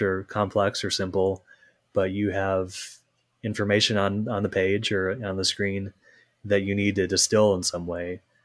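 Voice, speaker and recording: A man with a normal speaking voice and fairly low pitch talks at a moderate pace with an American accent, in a very clean recording with a silent background. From Minnesota. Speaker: lawyer. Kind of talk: casual interview.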